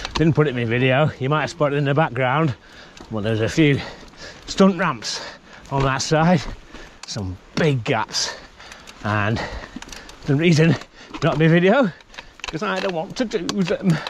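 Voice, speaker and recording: With lively intonation, a man speaks at a moderate pace, the sound dry with no echo and light background noise. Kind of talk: casual vlog chat while riding. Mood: annoyed rant, then joking. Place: forest. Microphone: helmet.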